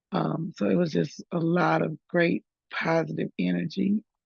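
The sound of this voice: With little pitch movement, a woman speaks at a fairly low pitch in a slightly mellow tone with a slightly husky edge and vocal fry, and the sound is dry and close with no echo. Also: fairly slow pace.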